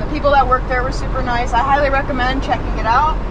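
Over crowd noise in the background, a woman speaks at a very fast pace. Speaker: travel vlogger. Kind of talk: casual vlog chat. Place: car. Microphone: phone near.

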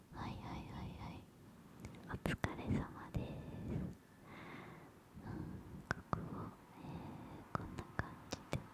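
A woman's whispering, gentle tone at a very slow pace, broken by long, frequent pauses. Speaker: nail salon roleplay host. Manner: gentle whispered roleplay talk. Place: home room. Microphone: studio mic.

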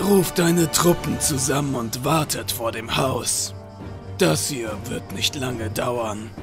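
Over loud music in the background, a man does a put-on character voice at medium pitch and a fairly slow pace. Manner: cold, menacing, calm.

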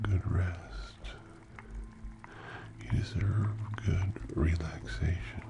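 Over noticeable background noise, a man speaks softly and very slowly in a very deep, low voice, his pitch swinging very widely. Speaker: ASMR creator. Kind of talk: ASMR guided relaxation and affirmations. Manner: soft-spoken, slow. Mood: warm, reassuring. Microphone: studio mic.

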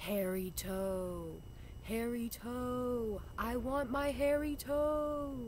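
Over clear background noise, a female-sounding voice puts on a high-pitched character voice and speaks at a very slow pace.

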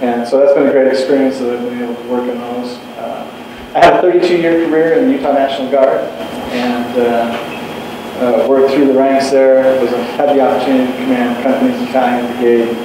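Strong room echo and noticeable background noise surround this recording. A man speaks at a fairly quick pace with fairly even intonation. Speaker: candidate. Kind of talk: interview answer. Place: hall.

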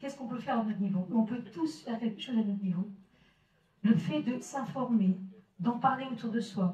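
The voice is somewhat breathy with a dark, mellow tone, set in audible room echo. It moves at a fairly quick pace but breaks often for long pauses. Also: woman, ordinary pitch variation. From northern France, Maubeuge; northern France. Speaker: solidarity association representative; association representative at a public debate. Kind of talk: public presentation. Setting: village hall with audience. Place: hall.

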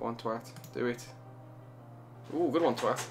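The speech is mumbled, in a Birmingham accent. Faint music plays in the background. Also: man. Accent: Birmingham (Brummie). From Birmingham, England. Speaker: gamer. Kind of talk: casual let's play commentary. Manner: mumbling. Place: home room. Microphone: studio mic.

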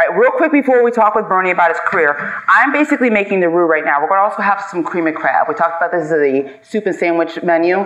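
This woman talks at a fast pace with few pauses, her pitch fairly low and her tone fairly bright. Her intonation is lively, and there is faint background noise.

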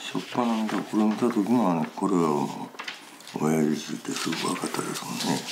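A man with a very deep, low pitch speaks at a moderate pace with lively intonation, over noticeable background noise. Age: 70s. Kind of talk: interview answer.

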